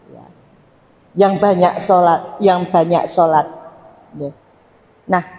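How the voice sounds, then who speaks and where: In a Javanese accent, a woman speaks in an animated tone. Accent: Javanese-accented Indonesian. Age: 60s. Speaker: Islamic preacher. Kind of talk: religious talk to congregation. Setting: mosque with audience.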